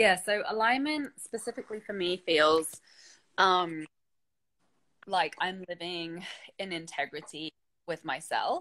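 A woman's bright, sharp voice with lively intonation, a fairly slow pace and long, frequent pauses. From England. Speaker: creative business coach; interview guest or host. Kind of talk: casual chat. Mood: warm, reflective. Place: home room. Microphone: video call.

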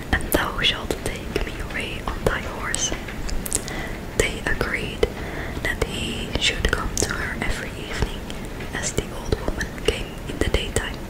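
A woman speaks at a fairly slow pace with long, frequent pauses. Loud background noise runs underneath. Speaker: storyteller. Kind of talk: story reading aloud. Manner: soft close ASMR whisper, storytelling. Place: home room. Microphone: studio mic.

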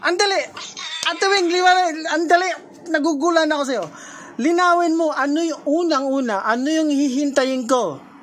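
A woman's high voice at a fairly quick pace with ordinary pitch variation, audible room echo and noticeable background noise. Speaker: reaction video creator arguing with a friend. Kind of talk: heated argument on a call. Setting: messenger call. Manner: animated, frequent laughing.

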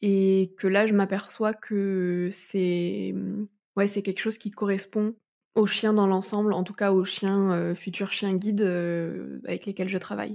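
A woman speaks very slowly at a medium pitch, her dark, mellow tone held in a flat, monotone intonation. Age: 20s. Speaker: guide dog kennel worker. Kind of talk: interview. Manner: hesitant, many fillers.

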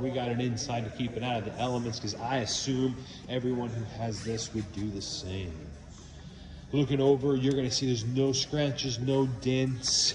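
There is noticeable background noise behind this man. His intonation stays fairly even. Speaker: car salesperson. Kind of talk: sales walkaround video message. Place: shop. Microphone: phone near.

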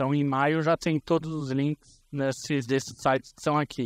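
A man speaks at a moderate pace. The sound is dry with no echo, over a quiet background. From Brazil, ABC region of São Paulo. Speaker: conference speaker on information security. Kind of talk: conference talk. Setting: stage with audience. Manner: casual, with hesitations. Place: hall.

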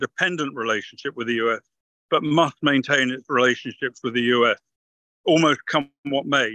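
Speaking with a British accent at a moderate pace, a man has a bright, sharp tone and ordinary pitch variation, recorded dry and close with no echo. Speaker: retired army officer, military analyst. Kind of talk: interview analysis. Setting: video call from a car.

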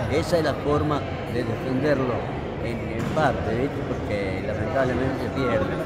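A man talks at a fairly slow pace. Loud background noise fills the recording. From Argentina. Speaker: gaucho-style folk reciter. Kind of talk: interview answer. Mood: proud, a bit nostalgic. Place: hall. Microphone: phone near.

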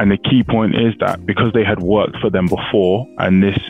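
A man speaks at a fairly low pitch. The sound is dry with no echo, and faint music plays in the background. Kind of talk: explainer commentary on a legal case. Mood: calm, explanatory. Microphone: headset.

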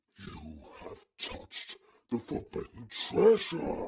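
A man puts on a raspy character voice.

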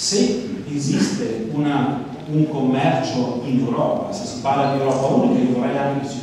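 Strong room echo and light background noise surround a man speaking with a fairly high pitch. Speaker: politician. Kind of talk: political speech. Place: hall.

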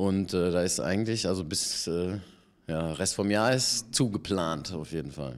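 Very deep and low in pitch, a man talks at a fairly slow pace with ordinary pitch variation. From Germany (Paderborn, San Francisco, Ludwigsburg). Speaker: actor and voice actor. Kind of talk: casual interview. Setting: theatre bar. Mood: relaxed, friendly. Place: bar. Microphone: handheld.

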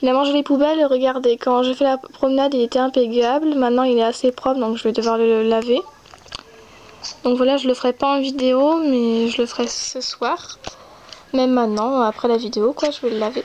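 A woman with a high pitch speaks at a moderate pace and fairly even intonation over light background noise. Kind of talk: gameplay commentary. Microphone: phone near.

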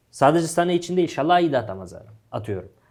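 A man speaks at a high pitch. The recording is very clean with a silent background. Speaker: football pundit. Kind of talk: casual sports talk show.

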